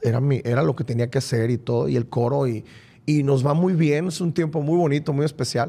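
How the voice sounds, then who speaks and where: A man talks at a fairly high pitch and a fairly quick pace. His pitch variation is ordinary. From Mexico, Culiacán, Sinaloa. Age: 40s. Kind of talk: testimony interview. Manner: repeats words, halting.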